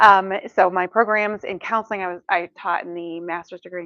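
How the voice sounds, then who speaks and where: This is a normal speaking voice, moving at a fairly quick pace with fairly even intonation. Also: woman. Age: 50s. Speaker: counseling professor and speaker. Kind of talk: talk to a church audience. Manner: casual, humorous delivery with many fillers.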